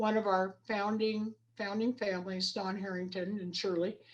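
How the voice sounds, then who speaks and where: This woman has an ordinary speaking voice with an American accent. Her pitch is medium, her intonation fairly even and her pace moderate. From Idaho. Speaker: rodeo coach and equine studies educator. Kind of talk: interview.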